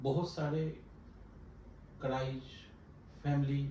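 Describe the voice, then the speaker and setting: A man's fairly high voice holds a monotone, flat intonation throughout. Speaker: talk show host. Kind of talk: talk show interview questions.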